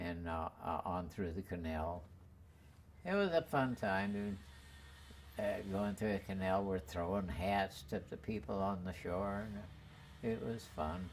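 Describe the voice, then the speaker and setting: Speaking at a fairly slow pace, a man uses a very deep, low pitch with ordinary pitch variation. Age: 80s+. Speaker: war veteran. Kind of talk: interview answer.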